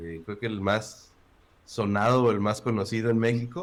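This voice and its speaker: Speaking with a central Mexican accent, a man uses a medium pitch. His pitch variation is ordinary. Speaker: agile consultant. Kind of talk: casual interview.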